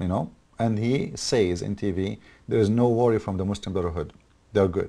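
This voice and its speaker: This very clean recording has a silent background and a man with an Arabic accent. His voice is fairly low with a dark, mellow tone and ordinary pitch variation. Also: fairly quick pace. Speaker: political commentator. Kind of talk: political commentary monologue. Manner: animated; halting.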